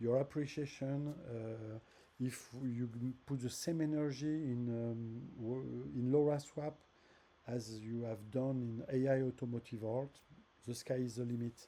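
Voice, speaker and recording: The speaker has a French accent and a dark, mellow tone. The pace is fairly slow and the intonation fairly even. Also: man. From France. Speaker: app developer. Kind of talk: tutorial. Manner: halting, with many fillers and repeats.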